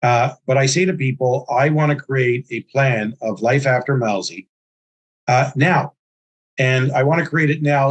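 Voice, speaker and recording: A man's somewhat breathy voice at a fairly slow pace, dry and close with no echo. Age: 60s. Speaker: entrepreneur and investment firm founder. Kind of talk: interview.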